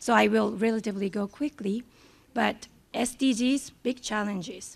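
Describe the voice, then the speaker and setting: Her voice sits fairly high and shows vocal fry as the woman moves at a moderate pace with ordinary pitch variation. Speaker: statistician and economist. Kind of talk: conference presentation.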